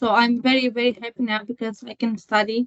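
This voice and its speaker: A woman with a Romanian accent speaks at a moderate pace in a fairly high voice, her intonation monotone and flat. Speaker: student. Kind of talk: testimony.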